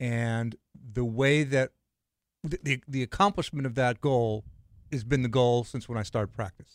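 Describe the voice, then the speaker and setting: Heard in a dry, close sound with no echo, a man with an American accent has an ordinary speaking voice at medium pitch, ordinary pitch variation, and a moderate pace. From Los Angeles, California. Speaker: spine surgeon, co-host. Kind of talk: casual chat.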